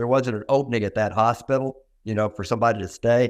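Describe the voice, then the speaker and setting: Over a quiet background, a man speaks at a fairly quick pace with a medium pitch and fairly even intonation. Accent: American. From US South, Little Rock, Arkansas. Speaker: dentist. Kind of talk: interview.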